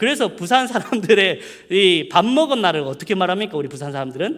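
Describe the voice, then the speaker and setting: Talking at a fairly quick pace, a man uses a high pitch that swings very widely. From South Korea, Mungyeong, North Gyeongsang. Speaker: preacher. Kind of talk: sermon. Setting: church. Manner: casual, conversational.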